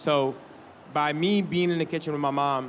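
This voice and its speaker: A man speaks at a fairly slow pace in a flat monotone, his pitch fairly high. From born in Harlem, raised partly in Senegal. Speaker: chef. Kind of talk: panel discussion.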